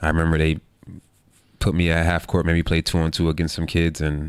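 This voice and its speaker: In a New York accent, a man talks at a very fast pace, his pitch very deep and low, his intonation monotone and flat. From New York, Queens. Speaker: basketball player. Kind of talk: interview. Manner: casual.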